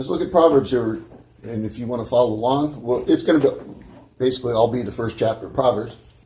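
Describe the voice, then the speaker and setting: A man with an American accent speaks very fast, in a somewhat breathy, dark, mellow voice with ordinary pitch variation. There is audible room echo. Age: 60s. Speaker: preacher. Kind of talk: sermon. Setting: church.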